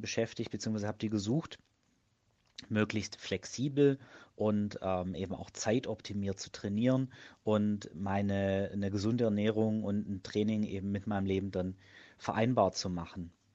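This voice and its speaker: A man's fairly low pitch, with fairly even intonation and a moderate pace. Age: 30s. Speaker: fitness blogger and project manager. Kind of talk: interview. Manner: hesitant, frequent filler sounds.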